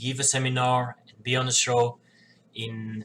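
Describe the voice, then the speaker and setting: A man's medium-pitched voice with a non-native accent and monotone, flat intonation. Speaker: professional wrestler. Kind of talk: casual talk to camera.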